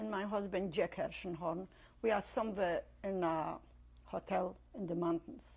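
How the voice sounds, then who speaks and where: Somewhat breathy delivery at a fairly slow pace. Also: woman. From Poland, Lodz. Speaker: Holocaust survivor. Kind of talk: oral history interview.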